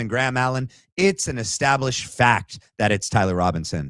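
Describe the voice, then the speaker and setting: A man with a medium pitch speaks in an animated tone. The recording is very clean and dry, close, with no echo and a silent background. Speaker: political commentary livestream host. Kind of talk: livestream commentary reacting to clips.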